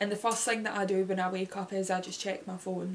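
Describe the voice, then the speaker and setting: Noticeable background noise sits behind the speech. A woman talks at a medium pitch with monotone, flat intonation. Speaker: YouTuber. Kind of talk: casual chat. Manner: halting.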